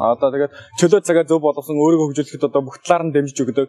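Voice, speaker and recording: Very fast and fairly high-pitched, a man speaks. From Mongolia. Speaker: exchange student. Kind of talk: testimony. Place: open country. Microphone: handheld.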